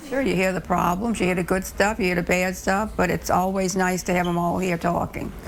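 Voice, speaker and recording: At a fairly quick pace with hardly any pauses, a woman speaks at medium pitch and very even loudness over noticeable background noise. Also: fairly even intonation. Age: 80s+. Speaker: grandmother who cooks for family. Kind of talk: interview answer.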